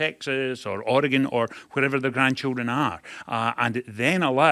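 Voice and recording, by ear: Reading aloud in a natural voice, intonation staying fairly even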